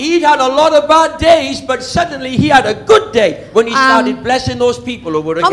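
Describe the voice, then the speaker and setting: A man speaks at a fairly quick pace with hardly any pauses in an extremely high voice with very wide pitch swings. Noticeable background noise can be heard. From Wales. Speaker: preacher. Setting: church sermon. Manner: preaches in short phrases paused for an interpreter.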